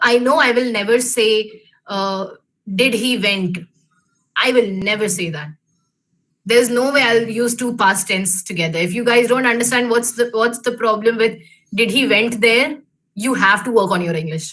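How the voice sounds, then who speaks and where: Speaking at a moderate pace with long, frequent pauses, a woman with an Indian accent has a fairly high pitch. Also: ordinary pitch variation. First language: Hindi. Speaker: alumna speaker, engineer in industry. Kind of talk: career talk to students. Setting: video call webinar. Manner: hesitant, many fillers.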